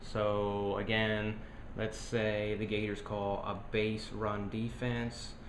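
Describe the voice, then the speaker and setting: A man's fairly low, monotone voice, very slow and very even in loudness, with audible room echo. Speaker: board game designer. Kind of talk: tutorial.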